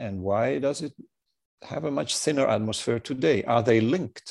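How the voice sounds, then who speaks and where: This man has an ordinary speaking voice, medium in pitch, with lively intonation. The sound is dry and close, with no echo. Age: 60s. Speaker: space university president. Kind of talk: interview. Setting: video call.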